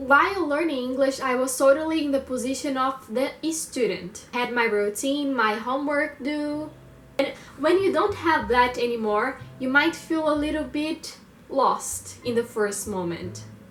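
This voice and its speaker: A woman with a Brazilian accent speaks at a high pitch and a fairly slow pace. Her pitch varies in an ordinary way, and room echo is audible. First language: Portuguese. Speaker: language learner vlogger. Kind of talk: personal monologue vlog. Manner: halting, with fillers.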